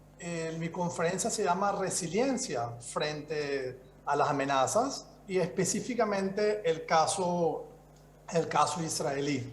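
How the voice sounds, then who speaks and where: Very slowly and with lively intonation, a man with a Venezuelan accent speaks at a high pitch, with noticeable background noise and audible room echo. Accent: Venezuelan-tinged Spanish. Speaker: security expert speaker. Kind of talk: conference presentation. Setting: video call.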